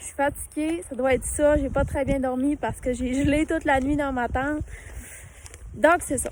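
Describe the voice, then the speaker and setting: Speaking at a moderate pace in a Quebec accent, a woman with a high voice swings widely in loudness over noticeable background noise. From Quebec, Saguenay-Lac-Saint-Jean. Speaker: vlogger. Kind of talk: casual vlog talk. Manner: halting, many hesitations.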